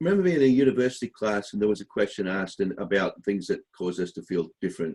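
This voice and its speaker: A man with an Australian accent talks at a very fast pace in a fairly low voice with ordinary pitch variation. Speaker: podcast host. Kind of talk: casual chat. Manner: halting.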